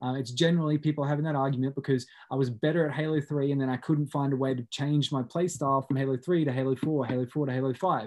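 A man rattles along at a very fast pace with hardly any pauses. His fairly high pitch keeps a fairly even intonation. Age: 20s. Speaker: podcast host. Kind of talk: casual chat.

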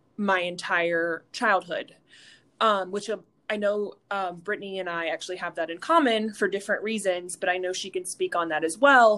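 The voice has a bright, sharp tone and an American accent, with ordinary pitch variation. The background is quiet. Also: woman. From rural North Carolina, Wadesboro. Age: 20s. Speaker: fitness instructor and personal trainer. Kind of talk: interview testimony.

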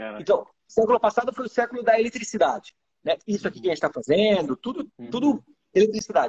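A man talks at a very fast pace in a high pitch, his loudness swinging widely and his intonation lively, all in a dry, close sound with no echo. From Iran, raised in Brazil from early childhood. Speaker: startup accelerator executive. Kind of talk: live interview. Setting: live stream.

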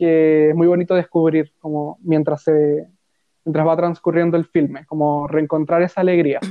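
The speaker has a Chilean accent. The pace is moderate. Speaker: podcast co-host. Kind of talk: casual chat.

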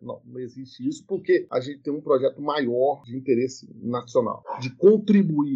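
A man talking at a fairly quick pace. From Brazil, Minas Gerais. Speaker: university professor. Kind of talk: interview.

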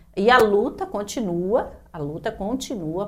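With lively intonation, a woman talks against noticeable background noise. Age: 50s. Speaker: public servants' union president. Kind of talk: casual chat.

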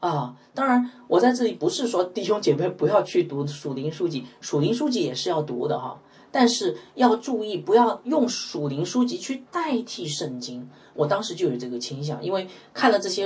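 A man with a high voice speaks at a moderate pace, his pitch swinging very widely amid noticeable background noise. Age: 40s. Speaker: pastor. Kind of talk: sermon. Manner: many filler sounds.

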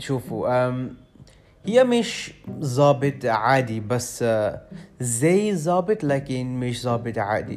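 The speaker has an English accent and lively intonation. The pace is very slow. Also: man, medium pitch for a man. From London, England. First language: English (speaking Arabic). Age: 20s. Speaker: language student. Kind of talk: solo podcast monologue. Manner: halting, many hesitations.

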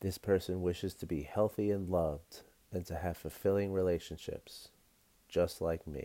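A man speaks with a very deep, low pitch and a dark, mellow tone. His tone is warm and calm, and his intonation stays fairly even. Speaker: podcast host and meditation guide. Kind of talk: guided meditation. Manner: calm, gentle, slow-paced, instructive; warm, friendly, with filler words.

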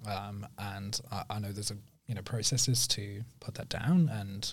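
In an English accent, a man speaks at a fairly low pitch with fairly even intonation. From northern England, Sheffield. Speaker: digital marketing agency owner. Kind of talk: casual interview.

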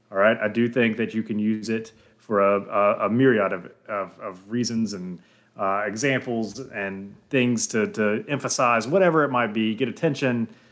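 The man's voice is medium in pitch and moderate in pace. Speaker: podcast co-host. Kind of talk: casual chat. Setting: remote call. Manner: monotone.

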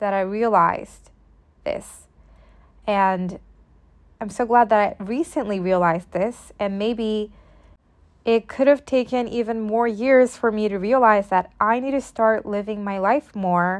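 Against a quiet background, a woman talks at a fairly slow pace in a normal speaking voice. Her pitch sits fairly high, with ordinary variation. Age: 20s. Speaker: podcast host. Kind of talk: solo monologue podcast.

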